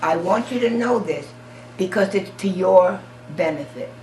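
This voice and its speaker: A woman with an American accent at medium pitch, fairly slow with lively intonation, and music in the background. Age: 80s+. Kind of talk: oral history interview answer.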